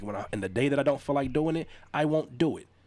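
Animated in tone, a man talks at a very fast pace with ordinary pitch variation. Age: 30s. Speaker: hip hop artist and music producer. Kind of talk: casual chat.

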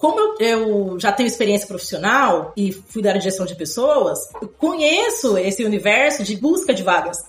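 Over music in the background, a woman speaks with lively intonation at a fairly high pitch. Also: moderate pace. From São Paulo, Brazil (Zona Leste). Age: 30s. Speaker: junior software developer and former teacher. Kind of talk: interview.

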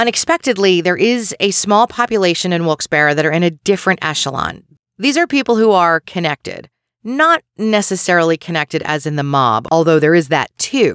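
In a Philadelphia accent, the speaker moves at a fairly quick pace over a very clean recording with a silent background. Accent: Delco (Delaware County, Pennsylvania). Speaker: true crime podcast host. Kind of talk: scripted narration.

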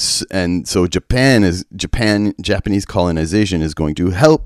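Very deep and low in pitch, a man speaks at a moderate pace. His intonation is lively. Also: dry, close sound with no echo. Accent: American. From West Texas. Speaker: church peace worker. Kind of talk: interview. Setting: remote recording.

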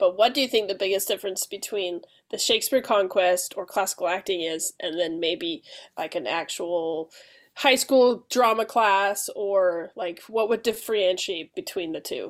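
A woman has an unremarkable speaking voice at medium pitch with ordinary pitch variation. The recording is very clean, with a silent background. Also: moderate pace. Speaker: podcast host. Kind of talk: casual interview conversation.

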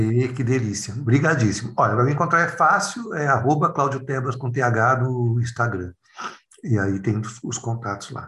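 Noticeable background noise sits behind the speech. A man with a medium pitch talks at a fairly slow pace with ordinary pitch variation. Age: 50s. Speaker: clown and educator. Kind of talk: casual interview conversation.

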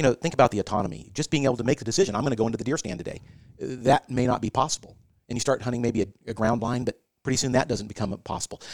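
A man talks at a very fast pace with ordinary pitch variation. The sound is dry and close, with no echo. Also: medium pitch for a man. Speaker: senior care executive. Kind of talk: casual interview.

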